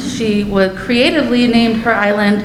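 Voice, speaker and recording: A woman with a fairly high pitch is speaking. Audible room echo and noticeable background noise come through. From Germantown area, US; moved there in childhood. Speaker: parent speaking at public comment. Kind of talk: public comment at board meeting. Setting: school board meeting. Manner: formal, prepared statement.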